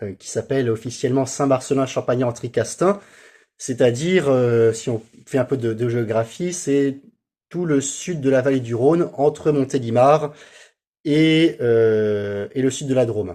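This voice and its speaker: Here a man speaks at medium pitch with a dark, mellow tone. His pace is fairly slow. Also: ordinary pitch variation. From France, Seine-et-Marne (Paris region). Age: 30s. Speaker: priest. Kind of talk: interview. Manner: halting, many hesitations.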